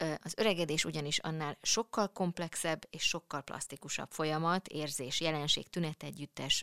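A woman with a very deep, low pitch and ordinary pitch variation talks at a moderate pace in a dry, close sound with no echo, on a very clean recording with a silent background. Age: middle-aged. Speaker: podcast host. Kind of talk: casual chat. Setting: studio.

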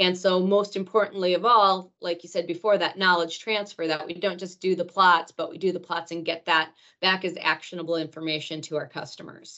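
With an American accent, a woman speaks at a fairly quick pace and a fairly low pitch, in a monotone, flat intonation with hardly any pauses. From northern Wisconsin, Rhinelander. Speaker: agronomy research manager. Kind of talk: casual interview.

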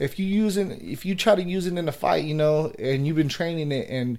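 On a very clean recording with a silent background, a man with an unremarkable speaking voice and an American accent talks at a moderate pace with lively intonation. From Northern California (Vallejo). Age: 30s. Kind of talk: casual interview chat.

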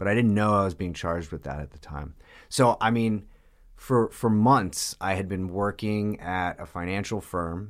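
A man with an American accent talks in a normal speaking voice at a moderate pace. His pitch is fairly low with ordinary variation, on a very clean recording with a silent background. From New York, Long Island. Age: 30s. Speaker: person in addiction recovery. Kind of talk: testimony.

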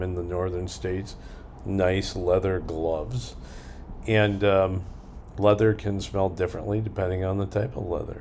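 Speaking at a moderate pace with fairly even intonation, a man with a very deep, low voice is heard amid audible room echo. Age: 60s. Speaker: podcast host. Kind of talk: casual monologue; listener Q&A.

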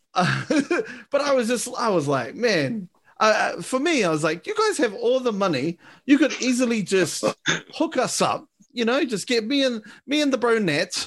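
A man with a New Zealand accent talks at a moderate pace and an extremely high pitch, his pitch swinging very widely over a quiet background. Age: 20s. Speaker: podcast host. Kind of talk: casual chat.

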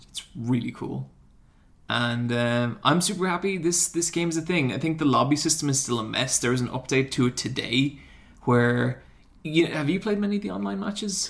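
A fairly high-pitched man with an Irish accent, lively intonation and a moderate pace. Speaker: YouTuber. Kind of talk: casual banter. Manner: animated.

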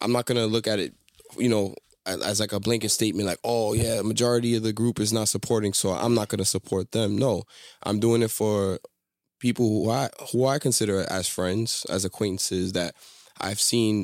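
An ordinary speaking voice with fairly even intonation at a moderate pace, on a very clean recording with a silent background and a dry, close sound with no echo. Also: man. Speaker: co-host. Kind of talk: casual banter podcast chat.

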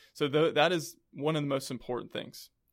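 An unremarkable speaking voice from a man with an American accent, fairly high in pitch and fairly even in intonation, on a very clean recording with a silent background. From South Carolina (Columbia). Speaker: chiropractor. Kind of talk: casual interview. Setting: studio.

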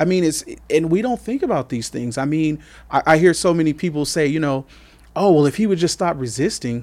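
A man with a normal speaking voice and an American accent talks at a fairly quick pace in a fairly high pitch with lively intonation, on a very clean recording with a silent background. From Coachella Valley, California. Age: 40s. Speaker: community worker and father. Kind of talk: podcast interview.

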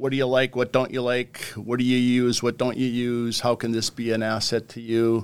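With a North Dakota accent, a man speaks at medium pitch and a moderate pace. He barely pauses, and his intonation is monotone and flat. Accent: Upper Midwest (North Dakota). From southwest North Dakota. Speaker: wildlife conservation official. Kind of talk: casual interview.

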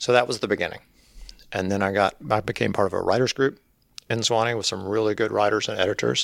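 Very fast speech in a Mississippi accent, with vocal fry and fairly even intonation. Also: man, fairly low pitch for a man. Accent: Mississippi Southern US. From Mississippi Delta, US South. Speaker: author. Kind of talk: interview.

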